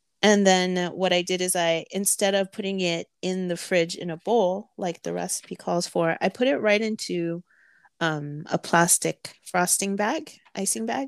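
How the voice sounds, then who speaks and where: In an unremarkable speaking voice, a woman talks at a fairly slow pace and medium pitch, with ordinary pitch variation. The sound is dry and close, with no echo. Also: very clean recording, silent background. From California, Filipino-American. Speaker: podcast co-host, romance author and home baker. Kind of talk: casual chat.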